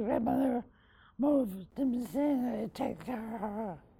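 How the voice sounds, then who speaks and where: A woman with an American accent talks at a fairly slow pace in a fairly high pitch with ordinary pitch variation. Her tone is dark and mellow, with vocal fry. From Northern New York (Massena). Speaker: local philanthropist. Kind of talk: interview conversation.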